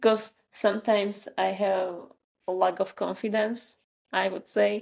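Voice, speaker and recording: A woman with a Slovak accent speaks at a fairly slow pace and a medium pitch, her intonation monotone and flat. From Slovakia. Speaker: marketer and newsletter writer. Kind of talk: interview conversation.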